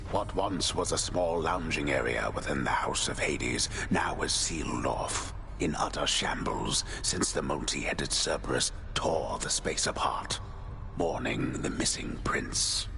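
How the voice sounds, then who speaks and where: A man's put-on character voice at a moderate pace over loud background noise. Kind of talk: epic narration. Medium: game stream. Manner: measured, grandiose.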